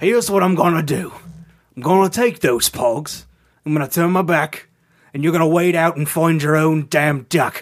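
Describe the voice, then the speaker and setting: A man speaks at a moderate pace in a fairly high voice. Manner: gruff, sardonic, grudging.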